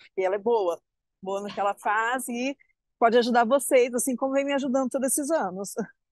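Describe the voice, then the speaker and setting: A woman speaks in a plain, everyday voice. The sound is dry and close, with no echo. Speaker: health professional. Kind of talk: casual chat. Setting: video call. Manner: cheerful.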